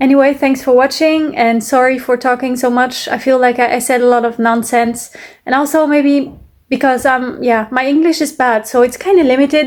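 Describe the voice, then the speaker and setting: A woman's high-pitched voice in a French accent, at a moderate pace, with fairly even intonation and very even loudness. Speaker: music reaction youtuber. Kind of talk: casual reaction commentary. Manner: halting, many fillers.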